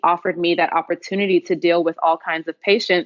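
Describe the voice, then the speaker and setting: A woman's ordinary speaking voice with an American accent, fairly low in pitch, with fairly even intonation. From Houston, Texas. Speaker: emergency medicine physician. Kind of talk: podcast interview answer.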